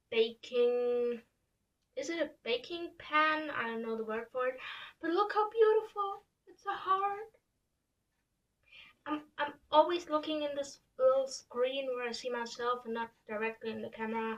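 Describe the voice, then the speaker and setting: A woman with a non-native accent speaks at a fairly slow pace in a high pitch. Her intonation is lively. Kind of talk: casual talk to camera.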